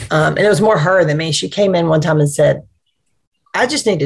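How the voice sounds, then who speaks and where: The voice is somewhat breathy, with an Alabama accent. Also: woman. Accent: Southern US (Alabama). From US South (Anniston, East Alabama). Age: 50s. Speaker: nonprofit executive. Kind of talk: interview.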